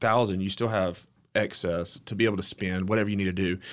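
A man with an Alabama accent speaks fairly quickly at a fairly low pitch with fairly even intonation. The recording is very clean, with a silent background. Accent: US Southern (Alabama). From Alabama, near Hueytown. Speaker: entrepreneur. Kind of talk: casual interview chat.

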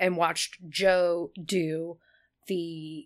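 A very clean recording with a silent background, and monotone, flat intonation. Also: woman. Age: 30s. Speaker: actor and director. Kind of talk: casual chat. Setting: studio.

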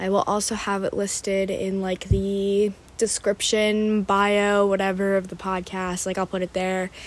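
An American woman with a medium pitch speaks at a fairly slow pace in a flat, monotone way, with hardly any pauses. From Pennsylvania, US. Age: 20s. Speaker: podcast host, college student and florist. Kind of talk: casual solo monologue. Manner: casual, filler-heavy.

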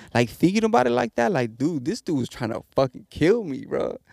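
With an American accent, a man talks at a fairly quick pace with lively intonation, the sound dry and close with no echo. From East Los Angeles. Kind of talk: casual chat. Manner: casual, joking, profane.

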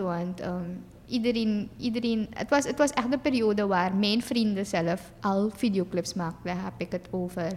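A woman with a fairly high pitch talks fairly slowly, her pitch varying in an ordinary way. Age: 20s. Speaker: singer and influencer, dental hygiene student. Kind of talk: casual interview. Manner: hesitant, many fillers.

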